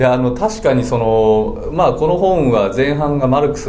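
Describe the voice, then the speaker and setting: A man talks with lively intonation. Audible room echo and noticeable background noise surround him. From Japan, Chiba (Funabashi). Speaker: business book author. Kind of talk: interview conversation. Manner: many fillers, hesitant.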